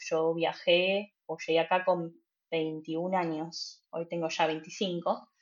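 This woman's voice sits fairly low and stays monotone and flat. She speaks at a very slow pace. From Argentina, Buenos Aires. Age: 20s. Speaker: trainee care worker. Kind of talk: interview.

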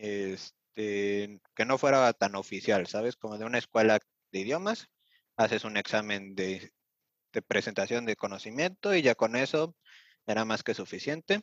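An ordinary speaking voice moves at a fairly slow pace with ordinary pitch variation, in a dry, close sound with no echo over a quiet background. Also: man, fairly low pitch for a man. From Mexico City. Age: 20s. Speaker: vocational apprentice. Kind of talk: interview.

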